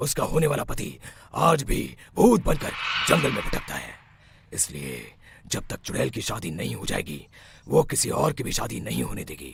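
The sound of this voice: Using a cartoonish character voice, a man speaks at a medium pitch. His pace is moderate. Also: big swings in loudness.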